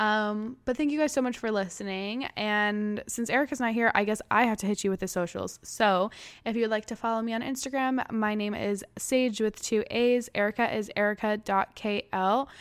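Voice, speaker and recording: With an American accent and a plain, everyday voice, a woman speaks at a fairly high pitch and moderate pace, her intonation fairly even and hardly any pauses, on a very clean recording with a silent background. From California. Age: 20s. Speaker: podcast host. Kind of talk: casual chat.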